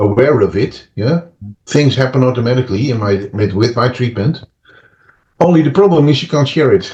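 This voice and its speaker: The man's voice is somewhat breathy, at a medium pitch. His intonation stays lively. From Netherlands. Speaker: therapist and author. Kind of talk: interview. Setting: podcast interview. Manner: hesitant, many fillers and restarts.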